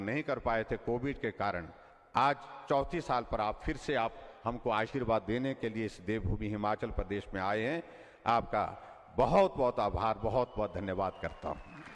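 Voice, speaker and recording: A man of medium pitch talks in an ordinary speaking voice with ordinary pitch variation. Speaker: politician, state chief minister. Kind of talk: public political speech. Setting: outdoor public rally, PA system.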